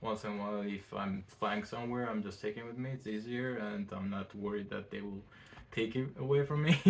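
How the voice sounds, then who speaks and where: A man with a non-native accent talks at a fairly quick pace, his fairly low pitch showing ordinary variation. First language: not English. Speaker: fashion designer. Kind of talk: casual interview chat. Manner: halting.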